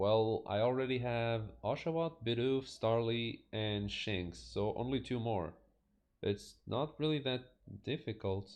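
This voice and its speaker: A man's medium-pitched voice with a non-native accent, ordinary pitch variation and a fairly slow pace. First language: not English. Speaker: video game streamer. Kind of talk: gameplay commentary.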